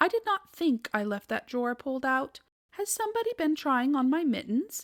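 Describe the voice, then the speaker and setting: A woman uses a put-on character voice with a high pitch and very wide pitch swings. Her pace is moderate. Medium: read story. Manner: prim, genteel.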